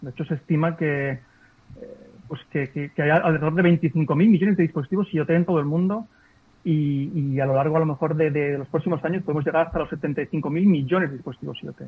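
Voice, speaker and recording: A man's normal speaking voice, fairly high in pitch, fairly quick in pace, with fairly even intonation. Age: 40s. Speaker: ethical hacker, cybersecurity entrepreneur. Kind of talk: interview. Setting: video call.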